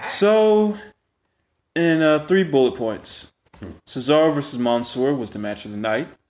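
A man in a fairly high pitch, with lively intonation and a fairly slow pace. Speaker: wrestling podcast host. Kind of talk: casual chat. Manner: animated.

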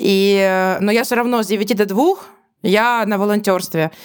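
Very clean recording of a woman, silent background behind her. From Ukraine, Donetsk. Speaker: podcast co-host. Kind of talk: casual chat.

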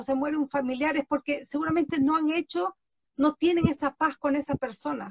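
A woman speaks at a moderate pace with a high pitch and fairly even intonation, in a dry, close sound with no echo. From Galápagos, Ecuador. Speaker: podcast host and author. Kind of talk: interview chat.

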